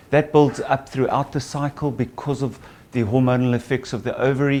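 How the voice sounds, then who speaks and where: A man with a South African accent at a moderate pace. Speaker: gynecologist and obstetrician. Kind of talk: patient seminar talk.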